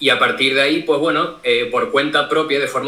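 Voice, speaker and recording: A normal speaking voice, with fairly even intonation. The pace is fairly quick. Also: man. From Canary Islands, Tenerife. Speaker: cybersecurity streamer. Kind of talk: interview. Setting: live stream call, camera off.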